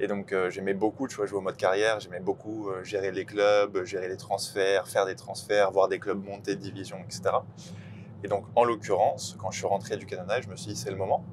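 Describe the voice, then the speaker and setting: Using a plain, everyday voice, a man speaks at a fairly quick pace and fairly low pitch, his intonation fairly even and his loudness swinging widely. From Île-de-France, France. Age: 20s. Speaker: sports club ticketing manager. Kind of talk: casual interview.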